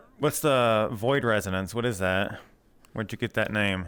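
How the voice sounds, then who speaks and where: In a very clean recording with a silent background, a man speaks at a medium pitch. His pace is fairly slow and his intonation lively. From US Deep South. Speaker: streamer interviewer. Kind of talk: casual interview. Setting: VR live interview.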